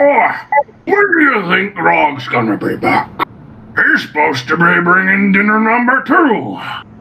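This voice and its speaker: A put-on character voice sits at a middle pitch. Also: moderate pace. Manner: gruff, slow-witted.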